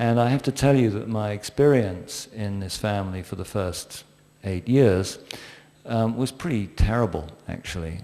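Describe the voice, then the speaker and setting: A man with a dark, mellow tone and an English accent. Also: ordinary pitch variation, moderate pace. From England. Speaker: panelist in spiritual discussion. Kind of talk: panel discussion.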